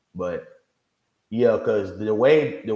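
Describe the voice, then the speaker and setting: A man is speaking, and audible room echo surrounds his voice. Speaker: video game streamer. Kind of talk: livestream reaction commentary. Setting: livestream. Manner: casual, rambling; loud.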